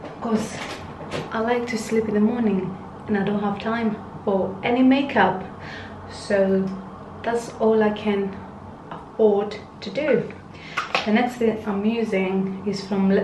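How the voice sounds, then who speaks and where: A woman speaks very slowly in a monotone, flat intonation, with long, frequent pauses. Noticeable background noise sits behind her. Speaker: beauty vlogger. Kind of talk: casual skincare tutorial chat. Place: home room. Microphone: phone near.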